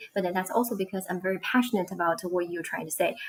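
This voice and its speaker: A woman at medium pitch, with ordinary pitch variation. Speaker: online ESL teacher and co-host. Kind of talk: live-stream conversation. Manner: fast.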